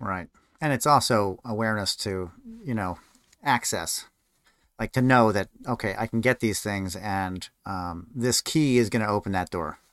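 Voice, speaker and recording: A man's ordinary speaking voice, fairly low in pitch with ordinary pitch variation, at a moderate pace, on a very clean, dry, close recording with a silent background and no echo. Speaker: podcast host. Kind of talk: casual interview.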